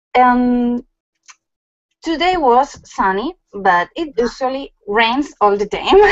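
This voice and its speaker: With a Spanish accent and lively intonation, the speaker goes at a very slow pace. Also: woman, high pitch for a woman. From Galicia, Spain (Lugo). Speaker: craft blogger guest. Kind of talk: casual interview. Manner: halting, many fillers.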